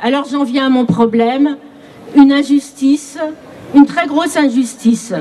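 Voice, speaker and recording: A woman with a high pitch speaks at a fairly slow pace with ordinary pitch variation, over noticeable background noise. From Paris region. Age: 60s. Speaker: retiree speaking at a rally. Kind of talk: testimony.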